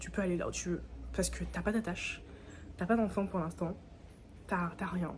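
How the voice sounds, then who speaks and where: A woman at a fairly quick pace amid noticeable background noise. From Guadeloupe. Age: 20s. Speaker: vlogger. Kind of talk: casual vlog talk to camera. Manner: fast; animated.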